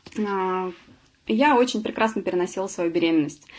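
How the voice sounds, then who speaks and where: The woman's intonation is lively. She keeps a medium pitch and a moderate pace. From Russia, Samara. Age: 40s. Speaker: webinar presenter, former accountant. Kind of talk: webinar presentation. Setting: online webinar. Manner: many filler sounds.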